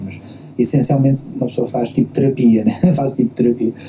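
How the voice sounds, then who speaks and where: With a Lisbon accent, a man speaks at a fairly quick pace. His pitch varies in an ordinary way, and background noise is noticeable. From Portugal, Queluz (Lisbon area). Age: 30s. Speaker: rapper. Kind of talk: casual interview. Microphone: lower sound quality due to technical problems.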